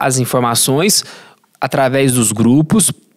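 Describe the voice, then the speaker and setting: A man is speaking. He goes at a fairly slow pace. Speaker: health sciences professor. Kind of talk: podcast interview answer.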